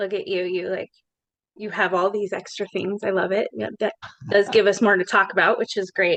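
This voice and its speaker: This woman talks in a monotone, flat intonation at a moderate pace, at a medium pitch and with an American accent. The sound is dry and close, with no echo. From Colorado, Larimer County. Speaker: podcast host, social worker. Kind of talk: podcast interview.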